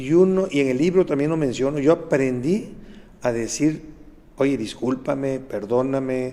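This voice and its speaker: A man's unremarkable speaking voice, fairly high in pitch, at a fairly slow pace with ordinary pitch variation. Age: 60s. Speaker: pediatrician and author. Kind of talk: interview. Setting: studio.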